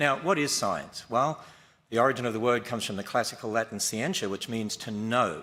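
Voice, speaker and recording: A bright, sharp tone in an Australian accent, very fast in pace, with ordinary pitch variation. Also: man. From Australia (Queensland). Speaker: creationist debater. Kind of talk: formal debate opening statement.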